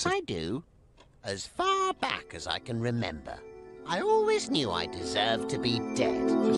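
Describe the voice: A cartoonish character voice speaks at a moderate pace with clear music in the background.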